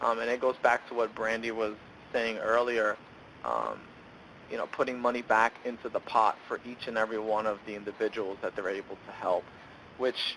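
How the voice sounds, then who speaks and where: With an American accent, a man speaks at a medium pitch and a moderate pace. His tone is bright and sharp, and his intonation is flat and monotone. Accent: New York accent, comes out sometimes. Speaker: benefits program presenter. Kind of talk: webinar presentation. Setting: online webinar.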